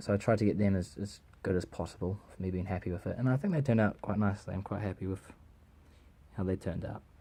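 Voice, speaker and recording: The speaker talks at a very fast pace, somewhat breathy, with fairly even intonation. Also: man. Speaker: Lego builder showing his model. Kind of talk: casual product walkthrough, unscripted. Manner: rambling, halting with self-repeats.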